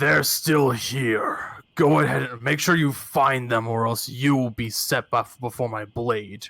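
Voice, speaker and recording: A man shouts and growls in a put-on character voice at a medium pitch. He keeps a fairly slow pace with hardly any pauses. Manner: yelling, menacing.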